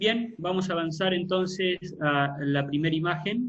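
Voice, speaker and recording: At a very slow pace, a man talks in a high pitch with ordinary pitch variation. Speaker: pastor. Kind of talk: online Bible class.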